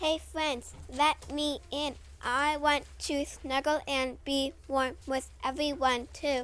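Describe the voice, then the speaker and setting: A female-sounding put-on character voice speaks very slowly at a high pitch, with clear background noise. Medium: read story.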